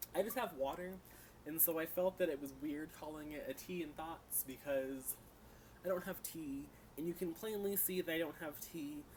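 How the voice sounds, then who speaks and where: Ordinary pitch variation marks the way this man speaks. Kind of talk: casual talk to camera, TV and book review vlog. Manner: fast.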